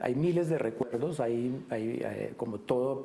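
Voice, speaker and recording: A man speaks at a fairly slow pace. His voice sits at medium pitch with a dark, mellow tone. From Colombia, Bogotá. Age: 50s. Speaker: painter. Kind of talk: interview. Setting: painter's studio. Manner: halting, many fillers.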